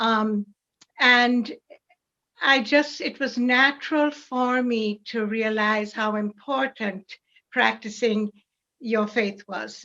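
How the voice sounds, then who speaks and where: At a very slow pace, a woman with a fairly high pitch and a bright, sharp tone keeps her intonation fairly even. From Jamaica. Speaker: parishioner and church reader. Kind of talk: interview conversation.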